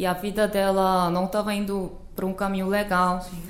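In a Korean accent, a woman talks at a moderate pace and medium pitch, with audible room echo around her. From South Korea. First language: Korean (speaking Portuguese). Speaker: Korean language teacher. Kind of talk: casual chat.

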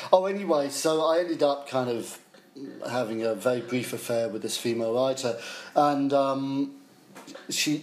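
Ordinary pitch variation with a southern English accent. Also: man. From Essex, England. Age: 50s. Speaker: music journalist. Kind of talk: interview.

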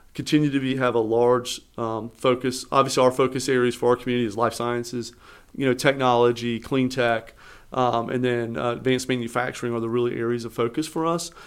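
A man talks at a fairly quick pace with an American accent and monotone, flat intonation. The recording is very clean, with a silent background. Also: medium pitch for a man. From Eastern North Carolina. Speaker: economic development director. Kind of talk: interview.

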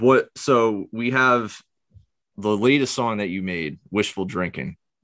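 Against a quiet background, a man with a medium pitch speaks at a very slow pace with lively intonation. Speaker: podcast host. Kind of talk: casual interview. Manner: halting, many filler words.

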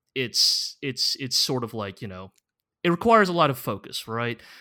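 In a very clean recording with a silent background, a man speaks at a moderate pace in a bright, sharp tone with ordinary pitch variation. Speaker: podcast co-host. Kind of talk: casual chat.

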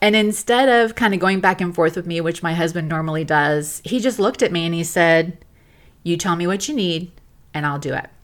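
A woman's normal speaking voice with an American accent, fairly low in pitch, at a fairly quick pace with ordinary pitch variation. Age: 50s. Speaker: podcast host and short-term rental owner. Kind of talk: personal monologue podcast.

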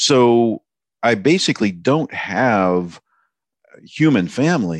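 A man with lively intonation against a quiet background. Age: 60s. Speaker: writer. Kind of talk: casual chat. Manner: halting.

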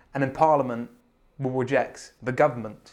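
A man with a British accent at a very fast pace, with a medium pitch and ordinary pitch variation. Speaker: podcast host. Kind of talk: casual chat. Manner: joking.

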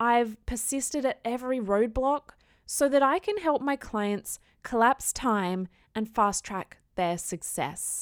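Speaking with an Australian accent, a woman uses lively intonation. The recording is very clean, with a silent background and a dry, close sound with no echo. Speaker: podcast host and business coach. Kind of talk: solo podcast monologue. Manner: casual, conversational.

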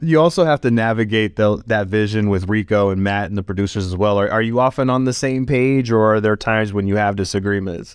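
Ordinary pitch variation from a man with a fairly low voice, at a very fast pace. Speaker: podcast host. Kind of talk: interview conversation.

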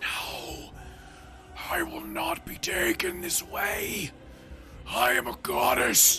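A man uses a raspy, put-on character voice and talks at a very slow pace. Clear background noise sits behind him. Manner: desperate, defiant.

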